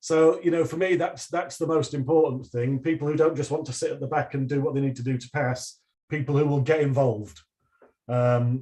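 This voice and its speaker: A man with a Northern English accent speaks at a fairly quick pace in a dark, mellow tone that is somewhat breathy. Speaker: university lecturer. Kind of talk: online presentation and Q&A. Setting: livestream video call. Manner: hesitant, with many repeated words.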